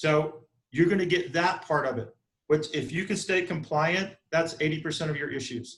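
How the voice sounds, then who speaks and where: In a Southern US accent, a man speaks at a fairly high pitch. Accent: Southern US (Georgia). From US South, South Georgia. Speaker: real estate broker and instructor. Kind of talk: online training class. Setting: video call from office conference room. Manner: fast.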